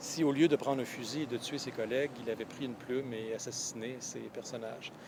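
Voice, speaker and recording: Noticeable background noise sits behind a man at a medium pitch. He talks at a fairly quick pace with fairly even intonation. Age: 40s. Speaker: professor and novelist. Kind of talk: interview. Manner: halting, many hesitations.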